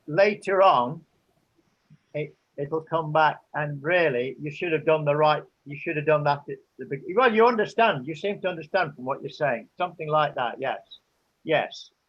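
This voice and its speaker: Speaking at a moderate pace with an English accent, the voice shows ordinary pitch variation and big swings in loudness. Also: man, fairly high pitch for a man. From England. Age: 70s. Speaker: interviewee. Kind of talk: interview. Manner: halting.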